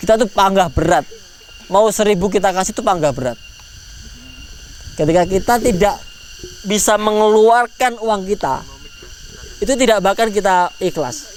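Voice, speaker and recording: A man with a high-pitched voice talks at a moderate pace with ordinary pitch variation, leaving long, frequent pauses, over noticeable background noise. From East Java, Tulungagung. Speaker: lecturer and motivational speaker. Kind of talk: motivational talk with Q&A at student orientation.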